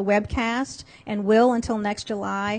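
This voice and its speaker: The pitch here is fairly high. It belongs to a woman. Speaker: government agency lawyer. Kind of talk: conference presentation. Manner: halting; fast.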